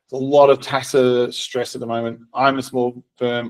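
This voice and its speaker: With an Australian accent, a man speaks at a medium pitch and with fairly even intonation. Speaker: software co-founder and accountant. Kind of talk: webinar presentation. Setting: recorded webinar. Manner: fast.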